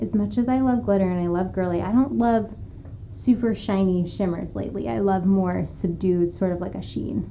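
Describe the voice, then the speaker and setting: A soft-spoken woman at medium pitch, with lively intonation, a moderate pace and audible room echo. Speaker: makeup artist. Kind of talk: tutorial. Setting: live stream studio. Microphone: room orb mic, sound issues.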